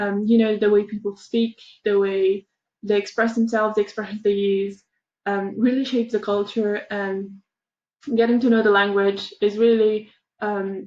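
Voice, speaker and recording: This woman speaks at a medium pitch and moderate pace. Her intonation is monotone and flat. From Romania. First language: Romanian. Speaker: university student. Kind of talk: educational workshop. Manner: halting, many fillers.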